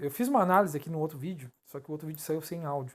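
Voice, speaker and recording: This man talks at a fairly quick pace with fairly even intonation and a somewhat breathy voice. The recording is very clean, with a silent background. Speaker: crypto analysis youtuber. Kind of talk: chart analysis tutorial. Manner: fast; halting, stumbles over words.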